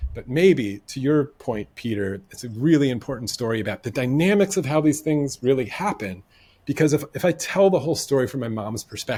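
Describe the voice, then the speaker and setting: A man at medium pitch and moderate pace, with an American accent, in a very clean recording with a silent background. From United States. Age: 40s. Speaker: podcast guest. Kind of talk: casual interview conversation. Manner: hesitant, with false starts.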